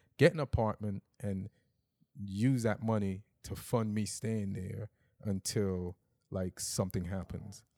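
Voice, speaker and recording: In a very clean recording with a silent background, a man with an American accent speaks at a fairly slow pace, his dark, mellow tone set at a fairly low pitch with ordinary pitch variation. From Jamaica, then Long Island, New York. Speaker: stand-up comedian. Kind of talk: casual chat. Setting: in-person recording in an apartment.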